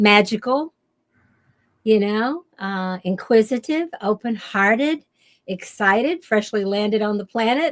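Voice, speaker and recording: Speaking at a fairly slow pace with lively intonation, a woman with a Kentucky accent has a fairly high pitch, recorded with a dry, close sound and no echo. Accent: Southern US, Kentucky. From US South, western Kentucky. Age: 70s. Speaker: shamanic teacher and author. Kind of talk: interview. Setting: radio show.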